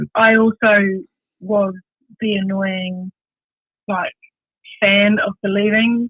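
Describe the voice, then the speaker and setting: In a New Zealand accent, a woman speaks very slowly at a medium pitch in a flat monotone, with long, frequent pauses. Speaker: bass player. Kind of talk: radio interview.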